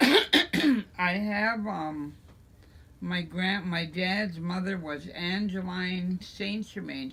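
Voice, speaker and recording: A woman with an American accent, her pitch fairly low and her intonation lively. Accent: Upper Midwest, Ojibwe community English. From Lac du Flambeau, Wisconsin. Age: 80s+. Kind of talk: interview.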